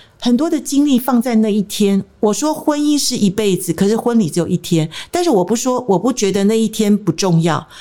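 A woman with a fairly high pitch talks at a fairly quick pace with hardly any pauses. Her pitch swings very widely while her loudness stays very even. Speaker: marriage counselor. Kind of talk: interview.

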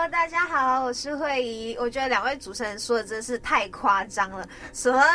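Speaking at a moderate pace over noticeable background noise, a woman uses a high voice with lively intonation. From Malaysia, Sabah. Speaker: radio host. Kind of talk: casual chat.

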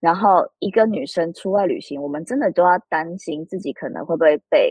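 Here is a normal speaking voice from a woman at a medium pitch. She talks at a moderate pace with lively intonation. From Taiwan. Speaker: author. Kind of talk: interview.

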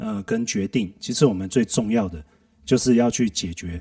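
At a fairly quick pace, a man talks at medium pitch with a dark, mellow tone and ordinary pitch variation. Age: 40s. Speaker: systems analyst at a company. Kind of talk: casual chat.

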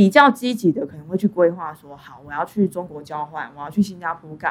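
Moving at a fairly quick pace, a woman speaks in an ordinary speaking voice, pitched fairly low, with lively intonation. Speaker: podcast host. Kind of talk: casual interview. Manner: frequent laughter.

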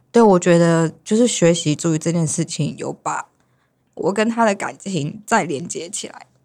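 On a very clean recording with a silent background, an ordinary speaking voice keeps a moderate pace and ordinary pitch variation. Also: woman, fairly low pitch for a woman. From Taiwan, Hualien, Sakizaya village. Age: young. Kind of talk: casual chat.

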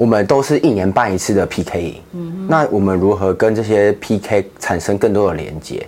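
Over noticeable background noise, a man with a fairly low pitch talks at a moderate pace with lively intonation and hardly any pauses. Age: 20s. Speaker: ministry project coordinator. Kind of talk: interview.

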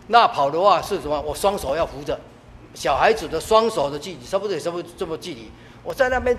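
A man with a high pitch talks very fast, his intonation lively and his loudness swinging widely, over noticeable background noise. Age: 70s. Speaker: church deacon. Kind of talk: testimony.

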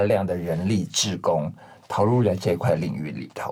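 The man's voice has a somewhat breathy sound. He keeps to a moderate pace. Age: 50s. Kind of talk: interview conversation.

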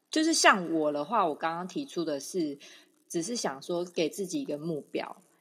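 With lively intonation and a moderate pace, a woman speaks in an unremarkable speaking voice, fairly low in pitch. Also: very clean recording, silent background. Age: 30s. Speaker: podcast co-host. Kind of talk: casual chat.

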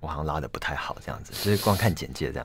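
A man talks at a very fast pace with vocal fry and ordinary pitch variation. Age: 20s. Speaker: violinist. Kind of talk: interview. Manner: halting, repeats words.

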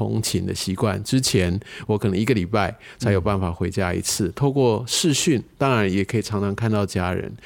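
The speaker is a man with a fairly low pitch. He talks at a moderate pace with ordinary pitch variation. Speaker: bank executive, finance guest. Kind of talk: interview. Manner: hesitant, filler-heavy.

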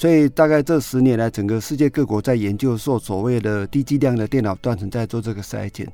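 With an ordinary speaking voice, a man of medium pitch talks at a fairly quick pace, with ordinary pitch variation and hardly any pauses. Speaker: lung cancer physician. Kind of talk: interview.

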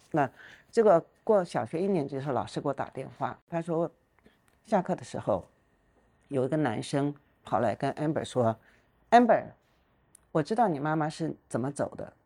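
Speaking with long, frequent pauses, a woman uses a very deep, low pitch, a dark, mellow tone and lively intonation. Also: moderate pace. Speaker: retired business executive. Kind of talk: interview conversation.

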